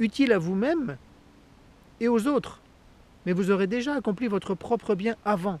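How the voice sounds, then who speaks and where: Lively in intonation, a man speaks at a fairly slow pace in a dry, close sound with no echo. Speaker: Buddhist lama and meditation teacher. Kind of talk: spiritual talk.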